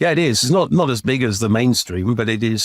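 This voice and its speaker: Lively intonation marks this man's RP accent. He talks at a fairly quick pace in a medium pitch. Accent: RP-like. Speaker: video game company CEO. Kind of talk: interview. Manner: halting, repeats words.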